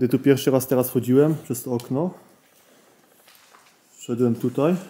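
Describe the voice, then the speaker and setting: A man's fairly slow delivery with fairly even intonation. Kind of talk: casual vlog narration. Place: tunnel cave. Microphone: phone near.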